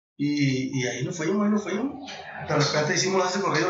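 A man at a fairly quick pace with ordinary pitch variation, with audible room echo and noticeable background noise. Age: 30s. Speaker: singer-songwriter. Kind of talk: casual interview.

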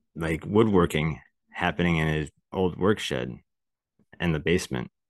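A man with a very deep, low pitch and vocal fry speaks at a fairly slow pace with fairly even intonation against a quiet background. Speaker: podcast co-host. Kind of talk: casual chat.

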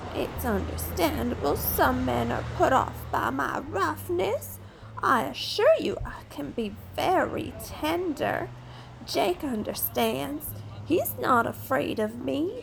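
A woman's fairly slow speech over clear background noise. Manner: tactless, flirtatious, sharp-tongued.

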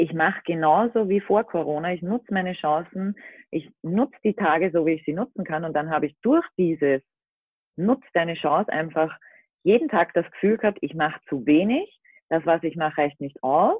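A woman has an unremarkable speaking voice at a fairly low pitch. She talks at a moderate pace with ordinary pitch variation. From Austria. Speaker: van-life social media creator. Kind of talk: casual chat. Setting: remote call from home.

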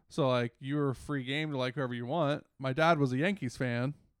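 A man speaks in an ordinary speaking voice with an American accent. His pitch is medium and his intonation fairly even. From Washington DC area, US. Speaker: podcast co-host. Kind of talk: casual chat.

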